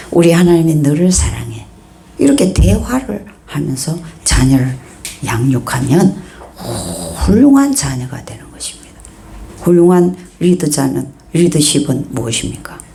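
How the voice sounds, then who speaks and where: A woman speaks in an animated tone with long, frequent pauses and big swings in loudness, over noticeable background noise and audible room echo. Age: 60s. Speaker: pastor. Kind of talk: sermon. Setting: church.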